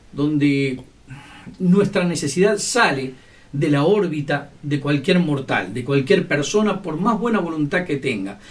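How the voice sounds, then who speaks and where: A man's lively intonation at a fairly slow pace. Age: 60s. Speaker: lay preacher. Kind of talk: sermon.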